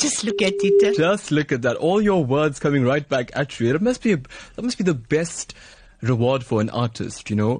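A man speaks at a moderate pace in a fairly high, somewhat breathy voice. His pitch swings very widely while his loudness stays very even. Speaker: radio host. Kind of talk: radio talk show interview. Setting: studio. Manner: warm, upbeat.

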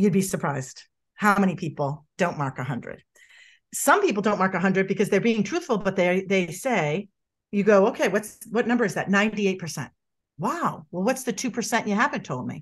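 Lively intonation from a somewhat breathy woman at medium pitch, against a quiet background. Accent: American. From Boston. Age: 50s. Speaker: body language expert. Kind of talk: interview. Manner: animated; rambling, digressive.

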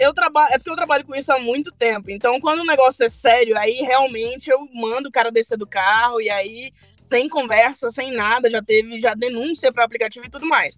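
A woman's high pitch at a fairly quick pace, with ordinary pitch variation and hardly any pauses. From Brasília, Brazil. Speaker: app driver. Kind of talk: storytelling.

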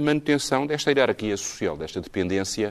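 Lively in intonation, a man with an unremarkable speaking voice talks at a fairly quick pace. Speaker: musicologist. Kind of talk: panel discussion.

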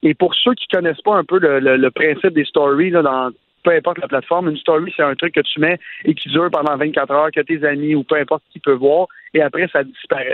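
Using a normal speaking voice, a man talks at a fairly quick pace, fairly high in pitch, with fairly even intonation. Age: 30s. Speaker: entrepreneur and sports/tech commentator. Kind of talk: casual chat.

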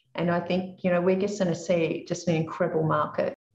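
A woman with an Australian accent, fairly low in pitch, at a fairly quick pace with fairly even intonation. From Australia (Dubbo, regional New South Wales). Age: 50s. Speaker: property investment educator. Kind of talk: interview.

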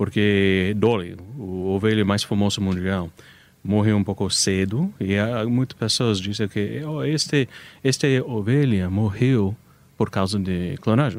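Fairly low in pitch, a man with an American accent speaks fairly slowly on a very clean recording with a silent background. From United States. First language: English (speaking Portuguese). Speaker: animal cloning business owner. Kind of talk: radio interview. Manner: halting.

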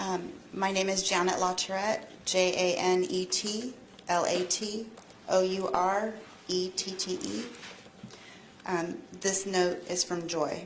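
A woman at a very slow pace, medium in pitch, with fairly even intonation and noticeable background noise. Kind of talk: court statement read aloud. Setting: courtroom.

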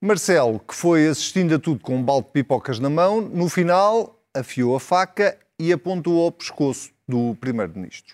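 In a very clean recording with a silent background and a dry, close sound with no echo, a man with an unremarkable speaking voice talks at a moderate pace with lively intonation. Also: fairly high pitch for a man. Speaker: TV debate moderator. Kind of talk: scripted narration; moderated political debate.

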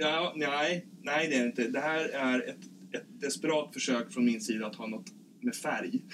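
At a moderate pace, a man with a fairly high voice makes very wide pitch swings. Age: 30s. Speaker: podcast host and nurse. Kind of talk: casual chat. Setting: ship cabin. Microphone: poor sound quality.

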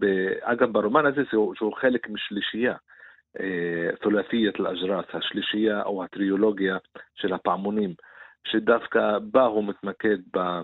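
In an Arabic accent, a man speaks fairly slowly at a medium pitch. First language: Arabic (speaking Hebrew). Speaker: writer and Arabic literature commentator. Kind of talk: radio interview. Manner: halting.

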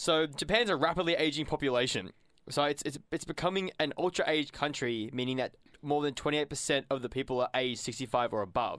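A man with an Australian accent speaks at a moderate pace. His pitch sits fairly high, and his intonation is lively. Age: 20s. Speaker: community radio co-host. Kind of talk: casual chat and interview. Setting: studio. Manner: animated.

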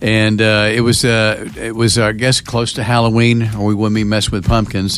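A man speaks in a plain, everyday voice at a medium pitch. His pace is moderate. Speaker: radio host. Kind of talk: live radio sign-off chat, reminiscing. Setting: radio studio. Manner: warm, chatty, easygoing, with laughs and ad-libs.

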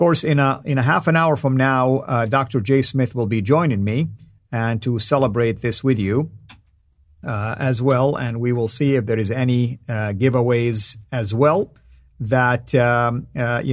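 A man with a Saudi accent speaks at a fairly slow pace. His loudness swings widely while his intonation stays fairly even. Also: medium pitch for a man. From Saudi Arabia. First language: Arabic. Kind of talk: live stream monologue. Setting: live stream. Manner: frequent fillers and hesitations.

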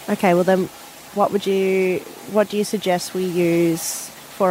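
A woman speaks with an Australian accent at a fairly slow pace. Her intonation is fairly even, with noticeable background noise. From Far North Queensland, Australia. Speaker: station receptionist, co-host. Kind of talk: casual chat.

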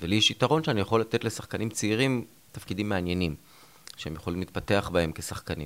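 A man's fairly low voice, an ordinary speaking voice, lively in intonation at a fairly quick pace. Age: 50s. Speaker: TV writer and creator. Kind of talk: interview.

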